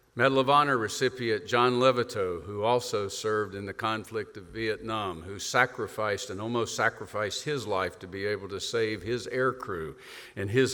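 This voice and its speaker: Speaking in a Southern US accent, the voice moves at a moderate pace. Its pitch variation is ordinary. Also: man, big swings in loudness. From US South. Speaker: retired air force leader, event host. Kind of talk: keynote introduction speech. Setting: stage with audience.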